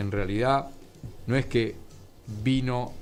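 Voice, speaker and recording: A man's voice with audible room echo. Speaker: author and historian. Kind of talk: interview.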